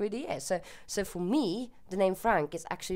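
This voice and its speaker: The speaker has a Swedish accent. The tone is dark and mellow. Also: woman. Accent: Swedish accent, often mistaken for German. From Sweden. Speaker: YouTuber. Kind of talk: casual Q&A monologue. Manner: hesitant, with fillers.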